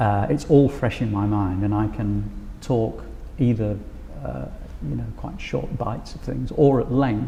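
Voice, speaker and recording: With audible room echo and noticeable background noise, a man at a fairly low pitch talks at a fairly slow pace, leaving long, frequent pauses while his pitch swings very widely. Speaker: music lecturer. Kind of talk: interview about teaching practice. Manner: halting with fillers.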